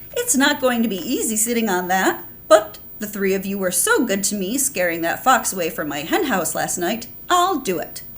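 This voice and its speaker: A woman speaks in a put-on character voice. Her pitch sits in the middle range. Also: moderate pace. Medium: read story.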